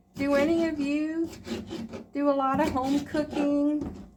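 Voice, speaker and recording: A woman speaks at a very slow pace in a high pitch. Audible room echo surrounds her voice. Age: 60s. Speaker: retired homemaker vlogger. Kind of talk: casual vlog talk while cooking. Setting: home kitchen. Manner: relaxed, conversational with filler words.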